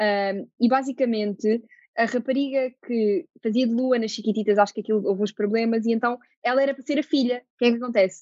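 Recorded dry and close with no echo, a woman with an ordinary speaking voice talks at a fairly quick pace, fairly high in pitch, with fairly even intonation. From Portugal, Lisbon. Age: 20s. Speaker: actress. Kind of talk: casual interview.

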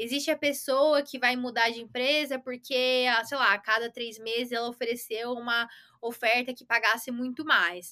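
The tone is bright and sharp, with big swings in loudness. The pace is moderate. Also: woman, high pitch for a woman, fairly even intonation. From Brazil, São Paulo area. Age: 20s. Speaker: iOS software developer. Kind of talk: casual interview.

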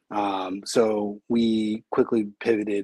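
A fairly low-pitched man with an American accent, dry and close with no echo. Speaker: brewery co-founder and beer business owner. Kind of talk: casual interview chat.

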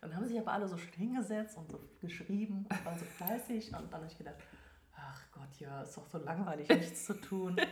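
A woman with a fairly low voice at a fairly quick pace, her loudness swinging widely, in a room with audible echo. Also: ordinary pitch variation. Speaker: animal communicator. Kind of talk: interview.

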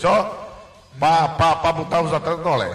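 Noticeable background noise fills the recording. Through it, a man talks at a moderate pace. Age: 40s. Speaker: radio sports co-host. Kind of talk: casual radio chat. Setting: studio.

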